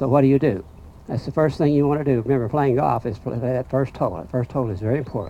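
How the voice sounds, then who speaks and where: A man with a dark, mellow tone speaks at a very fast pace. His pitch varies in an ordinary way. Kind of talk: informal talk to audience. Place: open country.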